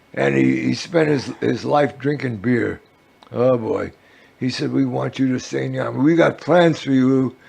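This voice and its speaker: Noticeable background noise sits behind a man with an American accent speaking at a moderate pace. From New York City. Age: 80s+. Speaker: activist and war veteran. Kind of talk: interview. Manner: halting.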